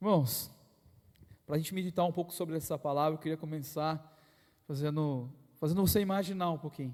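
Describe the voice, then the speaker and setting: A fairly high-pitched man at a fairly quick pace, with long, frequent pauses, on a very clean recording with a silent background. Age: 30s. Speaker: lay preacher. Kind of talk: sermon. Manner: animated.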